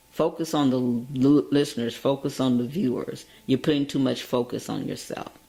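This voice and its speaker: A woman's very deep, low voice with ordinary pitch variation. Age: 60s. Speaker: radio and web TV host. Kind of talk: interview.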